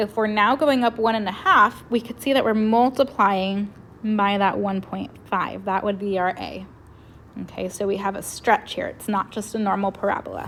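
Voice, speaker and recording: Here a woman uses a normal speaking voice with fairly even intonation. Her pace is moderate. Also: medium pitch for a woman. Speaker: math teacher. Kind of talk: tutorial.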